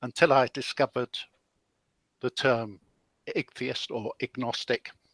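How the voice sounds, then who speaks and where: A man speaks with a British accent. The recording is very clean, with a silent background and a dry, close sound with no echo. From UK. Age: 70s. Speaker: retired pensioner, debate participant. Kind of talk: debate. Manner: hesitant, many uhs.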